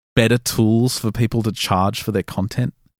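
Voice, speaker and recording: In a dry, close sound with no echo, a man with an Australian accent talks with ordinary pitch variation. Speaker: paranormal podcast producer and host. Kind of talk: interview.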